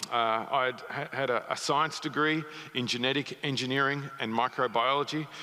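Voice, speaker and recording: A man with a slight Australian accent, fairly high pitch, and fairly even intonation. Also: moderate pace. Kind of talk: sermon. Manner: halting, many fillers.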